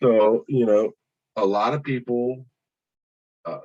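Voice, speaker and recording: This man has a dark, mellow tone at medium pitch. He talks at a fairly slow pace. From Oakland, California. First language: not English. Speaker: police deputy. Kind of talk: testimony.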